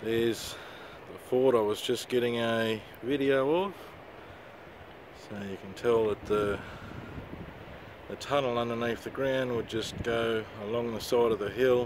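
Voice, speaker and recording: A man at medium pitch talks at a fairly slow pace with fairly even intonation and long, frequent pauses. Noticeable background noise sits behind him. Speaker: vlogger. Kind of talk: casual video tour narration. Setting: outdoors on a windy hill.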